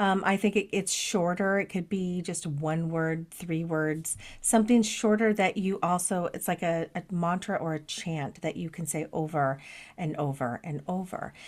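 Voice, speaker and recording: Heard on a very clean recording with a silent background, a plain, everyday voice moves at a moderate pace with ordinary pitch variation. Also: woman, fairly low pitch for a woman. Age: 50s. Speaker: podcast co-host, lightworker. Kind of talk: casual chat.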